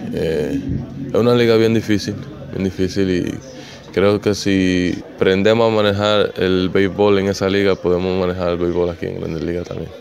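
Over light background noise, a man with a Dominican accent talks at a moderate pace in a very deep, low pitch with fairly even intonation. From Dominican Republic. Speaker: professional baseball outfielder. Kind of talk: interview answer. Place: stadium. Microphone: handheld.

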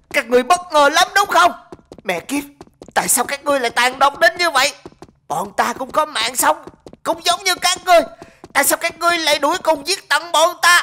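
A put-on character voice broken by long, frequent pauses. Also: woman, high pitch for a woman, moderate pace. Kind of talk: comic overacting. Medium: machinima. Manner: furious, defiant.

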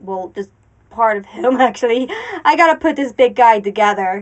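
High-pitched female voice. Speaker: crafting youtuber. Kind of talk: casual vlog chat. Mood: cheerful, relaxed. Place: home room. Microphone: lapel.

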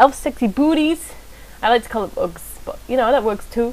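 At a moderate speed, a woman talks in a high-pitched voice. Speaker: gaming YouTuber. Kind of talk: casual gaming commentary. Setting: recorded video, solo. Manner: rambling, chatty.

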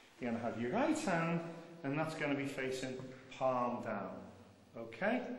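Light background noise and audible room echo surround the recording. A man talks at a fairly quick pace with lively intonation. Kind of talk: guided instructions. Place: tunnel cave. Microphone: old recording.

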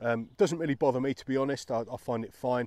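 A man with a dark, mellow tone talks at a fairly quick pace with ordinary pitch variation, in a dry sound with no echo. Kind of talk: gear review talk-through. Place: forest. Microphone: phone near.

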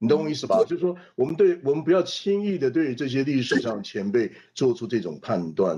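A man's dark, mellow voice at a fairly quick pace, with very wide pitch swings over light background noise. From Taiwan. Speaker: political scientist; panelist. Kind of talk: panel discussion. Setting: video call. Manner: animated. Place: home room. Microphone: video call.

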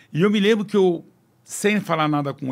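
The setting is quiet. A man's speech moves at a moderate pace, with ordinary pitch variation. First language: French (speaking Portuguese). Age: 60s. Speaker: business executive; guest. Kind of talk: podcast interview. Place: studio. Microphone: studio mic.

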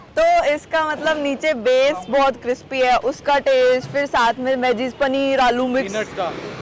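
Very slow speech in a dry sound with no echo, over light background noise. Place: street.

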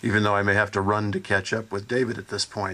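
This man has a plain, everyday voice. His pitch is fairly low, with fairly even intonation. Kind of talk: public talk to audience. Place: open country. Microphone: podium.

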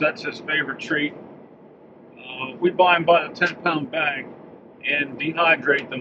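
At a fairly slow pace, a man speaks with fairly even intonation. Noticeable noise sits in the background. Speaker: vlogger. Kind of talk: casual vlog chat. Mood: amused, relaxed. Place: car. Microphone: phone near.

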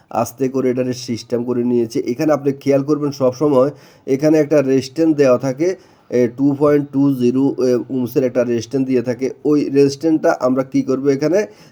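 This man's voice has a dark, mellow tone at a medium pitch. His loudness stays very even, and his intonation is fairly even too. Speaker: mobile phone repair technician. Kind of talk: repair tutorial. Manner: casual, conversational.

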